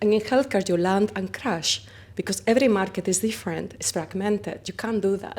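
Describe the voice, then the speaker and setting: In a Spanish accent, a woman speaks at a fairly quick pace with medium pitch, vocal fry, and fairly even intonation. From Spain. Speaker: company founder. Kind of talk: interview. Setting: conference.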